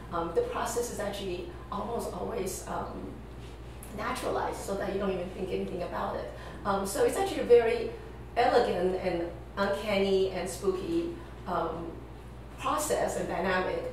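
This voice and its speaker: A woman at a moderate pace with long, frequent pauses, strong room echo and light background noise. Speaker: guest. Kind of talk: interview answer.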